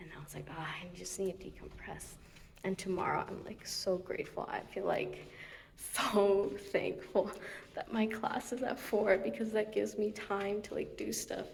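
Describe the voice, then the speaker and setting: Noticeable background noise fills the recording. A woman speaks through it at a moderate pace. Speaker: physical therapy grad student vlogger. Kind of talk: casual vlog. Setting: outdoors, walking. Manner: chatty, filler-heavy.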